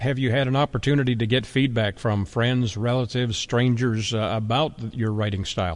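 A man with a plain, everyday voice, medium pitch, moderate pace, fairly even intonation, very even loudness and hardly any pauses. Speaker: radio host. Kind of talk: interview.

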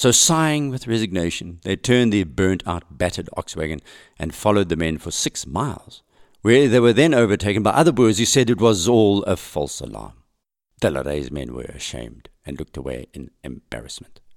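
Very wide pitch swings and big swings in loudness mark this fairly quick delivery with vocal fry. The recording is very clean, with a silent background. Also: man, fairly low pitch for a man. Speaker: podcast host. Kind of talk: history documentary narration. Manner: measured, storytelling narration.

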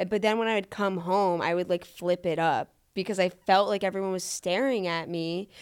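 A woman with an unremarkable speaking voice, medium pitch and fairly even intonation, on a very clean recording with a silent background. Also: fairly quick pace. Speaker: TikTok creator. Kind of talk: casual chat.

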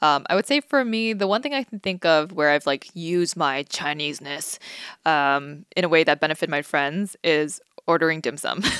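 A woman with a very deep, low pitch speaks at a moderate pace, and the sound is dry and close with no echo. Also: ordinary pitch variation. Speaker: podcast co-host. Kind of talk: casual chat.

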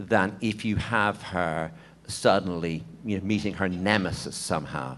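Speaking at a fairly slow pace, a man talks with an Irish accent. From Ireland. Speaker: novelist. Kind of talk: press conference panel. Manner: halting.

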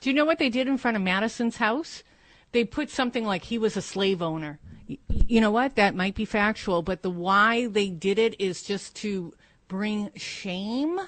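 A normal speaking voice from a woman, fairly high in pitch with lively intonation, at a moderate pace against a quiet background. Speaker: co-host. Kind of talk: talk show chat.

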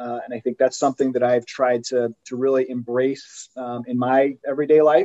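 An unremarkable speaking voice from a man, with fairly even intonation and a dry, close sound with no echo. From England-born, raised in US. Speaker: sports business executive. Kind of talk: interview.

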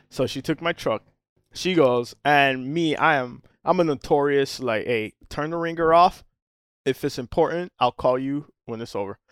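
An unremarkable speaking voice with an American accent moves at a moderate pace with ordinary pitch variation, recorded very clean with a silent background and a dry, close sound with no echo. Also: man, fairly high pitch for a man. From Miami, Florida. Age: 40s. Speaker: charter boat captain. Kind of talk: casual chat.

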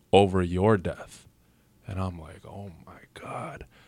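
A man at a fairly low pitch with a Toronto accent, on a very clean recording with a silent background. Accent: Toronto-area Canadian English. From Canada, Mississauga, Ontario. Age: 30s. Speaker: rapper. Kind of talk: casual chat. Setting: studio.

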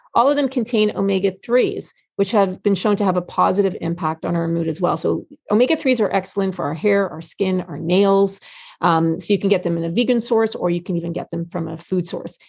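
In a quiet background, a woman speaks fairly quickly at a medium pitch with vocal fry and ordinary pitch variation. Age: 50s. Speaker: nutritionist. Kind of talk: casual chat.

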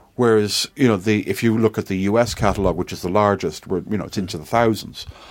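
Fairly low-pitched man's voice with an Irish accent at a fairly quick pace, on a very clean recording with a silent background. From Ireland. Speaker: tech company CEO. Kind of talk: casual chat. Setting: office.

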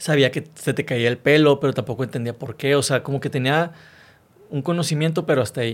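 A man's plain, everyday voice, at a fairly quick pace with ordinary pitch variation. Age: 30s. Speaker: motivational speaker and author, cancer survivor. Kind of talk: interview testimony.

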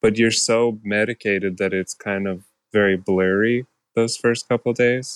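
In a normal speaking voice, a man talks at a moderate pace with a fairly low pitch and fairly even intonation, the sound dry and close with no echo. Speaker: retired professional cyclist. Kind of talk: interview. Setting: remote recording.

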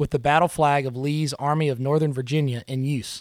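A man with a Mississippi accent talks at a fairly quick pace in a fairly high pitch, the sound dry and close with no echo on a very clean recording with a silent background. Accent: US Southern (Mississippi). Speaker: podcast host. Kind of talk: scripted narration.

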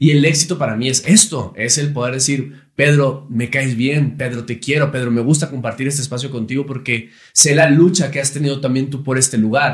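A somewhat breathy man at a fairly high pitch, moderate in pace with hardly any pauses and fairly even intonation. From Monterrey, Nuevo León, Mexico. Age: 30s. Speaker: TV host and actor. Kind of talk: casual chat.

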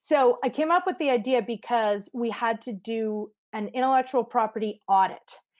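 A woman with a Canadian accent talks in a normal speaking voice at a fairly high pitch, with ordinary pitch variation. She keeps a moderate pace with hardly any pauses, and the recording is very clean against a silent background. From Canada, Montreal. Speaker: lawyer and legal tech entrepreneur. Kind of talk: interview.

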